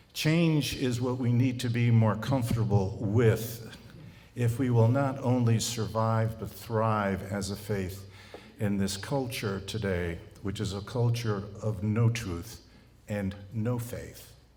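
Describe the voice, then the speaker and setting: Amid audible room echo, a man with an American accent speaks at a very slow pace. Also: medium pitch for a man, fairly even intonation. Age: 70s. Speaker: college president. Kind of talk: speech to clergy. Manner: halting.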